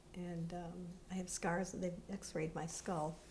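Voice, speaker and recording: A woman's fairly low voice, monotone and flat, with audible room echo. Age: 70s. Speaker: interviewee recounting her childhood. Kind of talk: personal testimony interview. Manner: halting.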